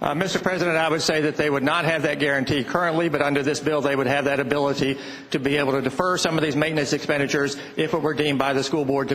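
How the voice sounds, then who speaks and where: With an American accent and noticeable background noise, a man talks very fast at a fairly high pitch, with fairly even intonation and very even loudness. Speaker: state senator. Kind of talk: answering questions in floor debate.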